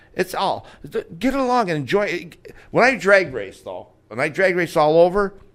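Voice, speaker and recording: Talking at a moderate pace, a man with a high pitch uses an animated tone and lively intonation. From Finger Lakes, upstate New York. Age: 70s. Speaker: drag racer, former radio host. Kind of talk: casual chat. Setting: studio. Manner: halting.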